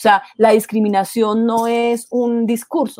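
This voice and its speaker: Dry and close with no echo, a very clean recording with a silent background carries a woman's voice. Her tone is dark and mellow at a fairly high pitch. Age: 50s. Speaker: LGBT rights NGO director. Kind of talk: interview.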